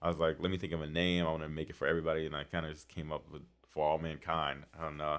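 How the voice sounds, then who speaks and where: Speaking at a very fast pace, a man with an American accent uses a very deep, low pitch and monotone, flat intonation. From Washington DC. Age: 30s. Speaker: realtor and party promoter. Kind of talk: casual chat.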